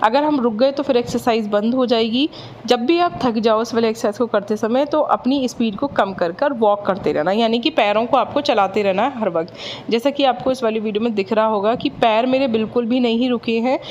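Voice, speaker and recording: A woman speaks at a moderate pace with hardly any pauses, her pitch fairly high and its variation ordinary. Her loudness stays very even, and noticeable background noise runs underneath. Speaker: fitness vlogger. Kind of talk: workout tutorial. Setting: at home.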